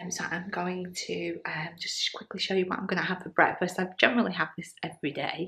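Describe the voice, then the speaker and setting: A soft-spoken woman talks at a fairly quick pace in a medium pitch. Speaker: vlogger. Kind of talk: casual vlog. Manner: quiet, speaking softly; hesitant, many ums.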